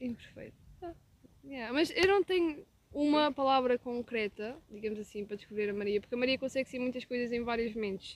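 Using lively intonation, a woman talks at a high pitch and a fairly quick pace. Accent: European Portuguese. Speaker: podcast co-host. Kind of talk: casual chat.

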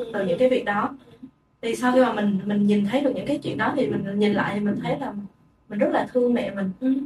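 Very fast speech from a woman, fairly high in pitch and showing ordinary pitch variation. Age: 20s. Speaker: podcast co-host. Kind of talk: casual chat.

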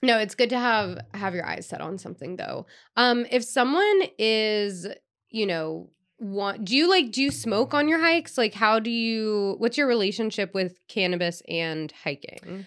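With lively intonation, a woman speaks fairly slowly in a normal speaking voice at fairly high pitch, recorded very cleanly against a silent background. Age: 30s. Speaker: podcast host. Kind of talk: casual chat.

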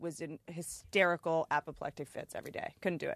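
In a very clean recording with a silent background, an animated voice with an American accent sounds dry and close, with no echo. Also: woman. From Washington D.C. area, US. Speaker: comedian and podcast host. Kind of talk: casual chat.

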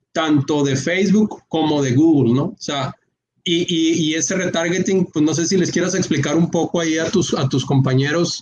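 Here a man speaks in an ordinary speaking voice at a moderate pace. His pitch is fairly high, with ordinary variation. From Mexico, Culiacán, Sinaloa. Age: 30s. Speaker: entrepreneur, online shop owner. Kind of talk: casual interview on a live stream.

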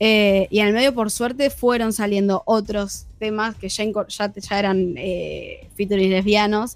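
A woman with a Rioplatense accent speaks at a very slow pace with hardly any pauses and fairly even intonation. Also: medium pitch for a woman. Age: 20s. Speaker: rock band singer. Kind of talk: radio interview.

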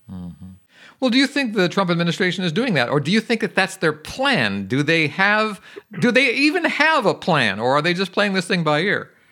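In a very clean recording with a silent background, a man speaks at high pitch in a raised, projected voice, fairly quick, bright and sharp in tone, with very wide pitch swings. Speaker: radio host. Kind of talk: radio interview.

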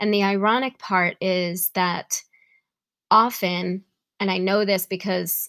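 A woman speaks with an American accent at a fairly slow pace, her pitch medium and her intonation fairly even. The sound is dry and close, with no echo. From New York. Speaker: wellness podcast host. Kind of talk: solo podcast monologue with guided breathing.

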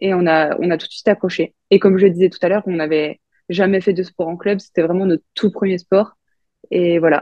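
Monotone, flat intonation carries words spoken at a fairly quick pace. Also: woman, medium pitch for a woman. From France, Franche-Comté. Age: 20s. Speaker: Olympic short track speed skater. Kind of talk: interview.

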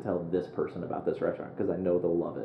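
Very deep and low, this man's voice carries a Midwestern American accent. Audible room echo surrounds the recording. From US Midwest, Quad Cities (Moline, Illinois). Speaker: app startup founder. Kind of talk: interview conversation.

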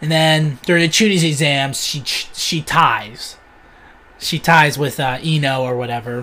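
Using an unremarkable speaking voice, a man speaks at a fairly slow pace in a fairly high pitch with ordinary pitch variation. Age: 20s. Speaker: podcast host. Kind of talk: casual chat.

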